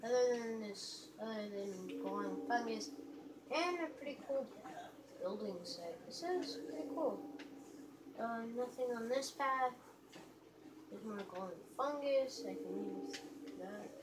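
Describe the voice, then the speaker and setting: There is noticeable background noise as a woman talks at a fairly slow pace, leaving long, frequent pauses. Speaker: gamer filming own play. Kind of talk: gameplay commentary. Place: home room. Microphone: phone near.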